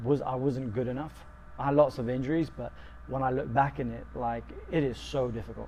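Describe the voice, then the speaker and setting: A man with a London accent, at a fairly quick pace. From London, England. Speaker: football coach and sports therapist. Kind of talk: interview. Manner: halting, many fillers.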